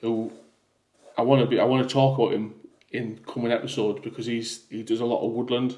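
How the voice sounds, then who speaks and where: A man speaks at a very fast pace yet leaves long, frequent pauses. His medium-pitched voice stays monotone and flat. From northeast England. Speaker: podcast co-host. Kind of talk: casual chat.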